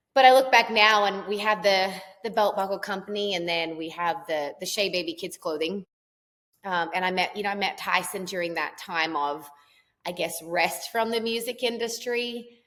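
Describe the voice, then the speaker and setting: Medium pitch, moderate pace and ordinary pitch variation from a woman. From Australia. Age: 30s. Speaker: country singer and entrepreneur. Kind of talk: podcast interview.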